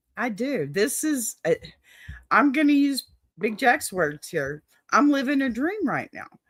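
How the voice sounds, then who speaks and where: Her voice high and her pitch swinging very widely, a woman speaks at a fairly slow pace with long, frequent pauses, the sound dry and close with no echo. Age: 50s. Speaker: YouTube talk show host. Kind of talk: casual interview.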